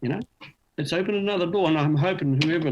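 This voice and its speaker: A man with a New Zealand accent at a very fast pace. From New Zealand, Auckland. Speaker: beginner harmonica player. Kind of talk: interview. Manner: fast, mumbles when tired.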